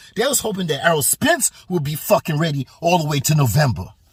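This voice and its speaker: A man speaks at a fairly quick pace in an animated tone. His voice is somewhat breathy. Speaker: boxing commentator vlogger. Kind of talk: casual rant. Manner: animated, repetitive; stuttering.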